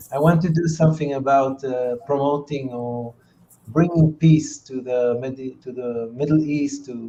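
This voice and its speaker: Noticeable background noise sits behind a man whose voice is fairly high in pitch with ordinary pitch variation. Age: 60s. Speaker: entrepreneur and peace activist. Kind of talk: interview. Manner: halting, many fillers.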